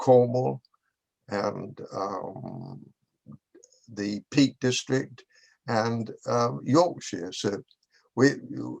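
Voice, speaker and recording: Talking at a very slow pace with long, frequent pauses, a man with a medium pitch uses lively intonation, vocal fry, and big swings in loudness. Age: 80s+. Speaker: artist. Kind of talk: interview Q&A. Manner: halting, repetitive stammering.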